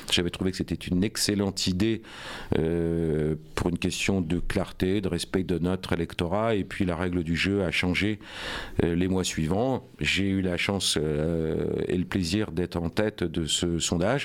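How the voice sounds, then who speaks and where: This man's voice sits very deep and low, and his loudness stays very even. He speaks at a fairly slow pace. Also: fairly even intonation. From France, Rouen (Normandy). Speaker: politician, mayoral candidate. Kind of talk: radio interview. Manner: hesitant, many fillers.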